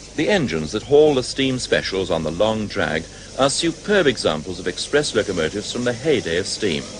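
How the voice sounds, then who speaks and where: Noticeable background noise sits under this recording. A man with a fairly low pitch talks at a fairly quick pace with very wide pitch swings. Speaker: documentary narrator. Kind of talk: documentary narration.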